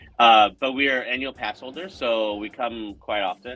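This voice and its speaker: Music can be heard in the background. A man talks at a medium pitch with ordinary pitch variation. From North Carolina (Winston-Salem). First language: Spanish. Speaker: theater actor. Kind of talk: casual chat.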